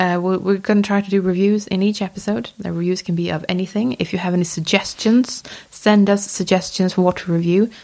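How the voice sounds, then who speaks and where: The voice has a dark, mellow tone and fairly even intonation. It moves at a fairly quick pace with hardly any pauses. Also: woman, medium pitch for a woman. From Sweden. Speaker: objects conservator, podcast host. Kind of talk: casual chat.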